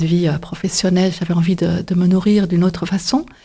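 Her voice has a somewhat breathy quality. The woman's tone is dark and mellow. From Belgium, Flemish side (Antwerp). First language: Dutch (Flemish) (speaking French). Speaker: painter and photographer. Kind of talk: interview monologue. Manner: halting, many hesitations.

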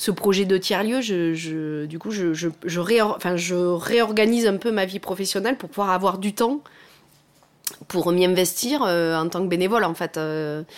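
This woman has a medium pitch and ordinary pitch variation. She talks at a moderate pace. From southwest France, Lot near Cahors. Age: 40s. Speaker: remote worker who moved to the countryside. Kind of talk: interview. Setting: at home, in the kitchen. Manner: halting, many fillers.

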